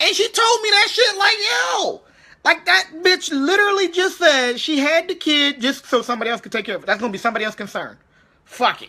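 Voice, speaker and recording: Speaking at a fairly quick pace, a man uses an extremely high pitch with very wide pitch swings and an animated tone. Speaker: army veteran vlogger. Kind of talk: casual rant monologue. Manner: halting, repetitive.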